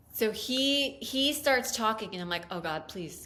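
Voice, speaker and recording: Animated and full of very wide pitch swings, a woman's voice rings with audible room echo. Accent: American. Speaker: podcast co-host. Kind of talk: casual chat.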